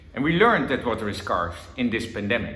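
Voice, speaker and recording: Audible room echo surrounds a man speaking with a Dutch accent. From Netherlands. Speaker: government envoy on water. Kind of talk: conference talk.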